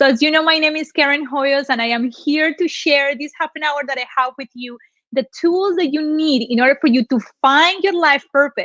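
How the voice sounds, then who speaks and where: High-pitched woman's voice in a Colombian accent, with ordinary pitch variation. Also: moderate pace. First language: Spanish. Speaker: motivational speaker. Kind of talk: motivational talk. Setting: live online broadcast with room audience.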